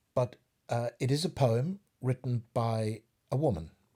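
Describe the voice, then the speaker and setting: A dark, mellow tone with ordinary pitch variation, on a very clean recording with a silent background. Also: man. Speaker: actor. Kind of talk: spoken introduction to a poetry reading.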